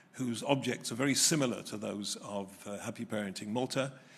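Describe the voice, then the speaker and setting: Over audible room echo, a man with an English accent talks at a moderate pace, medium in pitch with fairly even intonation. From England. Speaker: retired family court judge, keynote speaker. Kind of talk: keynote lecture. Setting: hotel hall with live audience. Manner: hesitant, many filler sounds.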